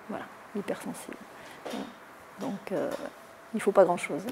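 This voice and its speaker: Noticeable background noise behind a woman's voice, fairly high in pitch. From Toulon, southern France. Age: 70s. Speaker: mayor. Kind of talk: interview. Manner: hesitant, many fillers.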